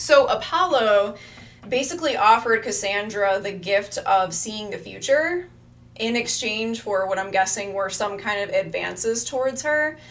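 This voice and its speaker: Against noticeable background noise, a woman talks at a moderate pace in an animated tone. Her pitch is fairly high and her intonation lively. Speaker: astrologer. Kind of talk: live stream talk. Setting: live stream.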